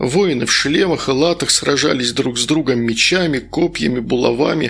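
The voice has a fairly bright tone, a moderate pace, and ordinary pitch variation. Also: man.

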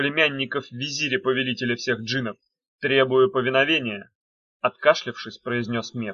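Over a quiet background comes plain reading aloud with fairly even intonation.

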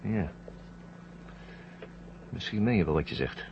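In a put-on character voice, a man speaks slowly at a low pitch with vocal fry and lively intonation.

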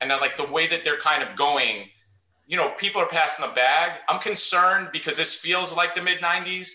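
Speaking at a moderate pace, a man with a New York accent has a high pitch. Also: fairly even intonation. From US Northeast (Queens, New York). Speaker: podcast host and high school coach. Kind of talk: casual interview.

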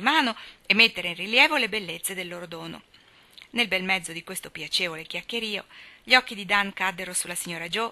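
This is an unforced reading voice with ordinary pitch variation.

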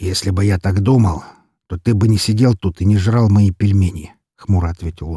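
Plain reading aloud unfolds over a quiet background.

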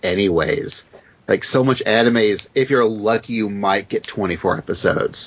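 An unremarkable speaking voice with an American accent, fairly even intonation and a moderate pace. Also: man, fairly low pitch for a man. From US South. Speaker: guest co-host filling in. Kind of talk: casual chat.

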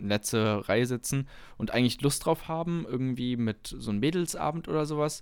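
Recorded very cleanly against a silent background, a man has an ordinary speaking voice, moderate pace and ordinary pitch variation. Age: 20s. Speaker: podcast co-host, student, amateur comedian. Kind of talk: casual chat.

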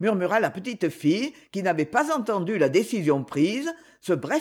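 Someone reads out loud in an unforced reading voice.

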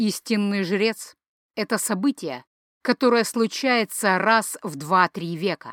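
Over quiet surroundings, the reading sounds unforced and the pitch varies in an ordinary way.

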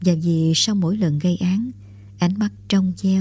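A natural voice, reading aloud

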